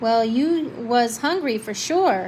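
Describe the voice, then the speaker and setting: A put-on character voice with lively intonation over clear background noise. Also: woman. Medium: read story.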